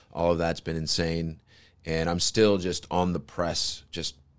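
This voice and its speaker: A man's very deep, low pitch and monotone, flat intonation at a fairly slow pace against a quiet background. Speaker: podcast host. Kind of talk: casual podcast monologue. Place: home room. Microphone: studio mic.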